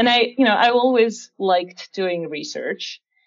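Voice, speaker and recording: A woman with a Russian accent. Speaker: security research engineer. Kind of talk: interview.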